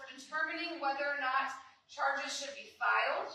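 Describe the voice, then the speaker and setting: A woman projects a raised voice at a high pitch, bright and sharp in tone. She keeps a moderate pace, and room echo is audible. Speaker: district attorney. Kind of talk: public presentation at town hall. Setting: town hall meeting with audience. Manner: many filler ums.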